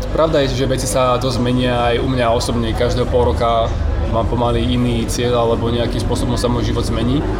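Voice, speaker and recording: A man talks at a fairly quick pace with very even loudness, with audible room echo and noticeable background noise. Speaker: podcast host. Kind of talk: casual interview. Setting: cafe.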